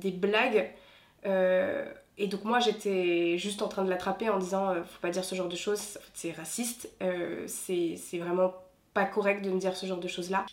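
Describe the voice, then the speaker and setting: A woman with a normal speaking voice talks at a medium pitch and moderate pace, her intonation fairly even but her loudness swinging widely. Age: 20s. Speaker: consultant. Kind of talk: testimony.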